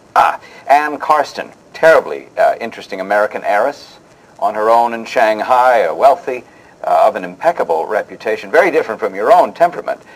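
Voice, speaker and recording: Noticeable background noise runs throughout. A man speaks at a fairly quick pace. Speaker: interview host. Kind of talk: interview host patter, scripted show.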